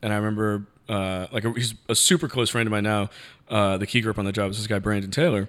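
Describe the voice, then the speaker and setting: A man speaks at a very fast pace with a fairly low pitch. His intonation stays fairly even. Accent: American. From New York, the Bronx. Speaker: cinematographer. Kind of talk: casual chat.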